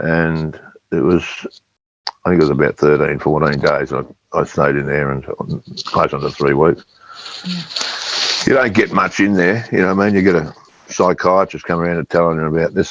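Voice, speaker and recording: A man with an Australian accent and a very deep, low voice, fairly quick between long, frequent pauses, with ordinary pitch variation. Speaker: former footballer. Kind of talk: podcast interview answer. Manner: storytelling.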